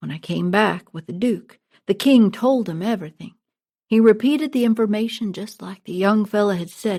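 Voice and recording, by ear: Pitch varies an ordinary amount as a natural voice reads aloud. All around it is quiet.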